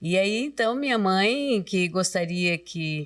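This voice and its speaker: A woman with a fairly low pitch, lively intonation, and a very slow pace. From Brusque, Santa Catarina, Brazil. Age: 70s. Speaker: retired teacher and catechist. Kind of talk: casual interview.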